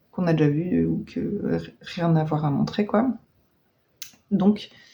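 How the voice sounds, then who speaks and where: A woman's fairly low voice with ordinary pitch variation, at a fairly slow pace. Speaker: knitting podcaster. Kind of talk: casual vlog chat. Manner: hesitant, many fillers.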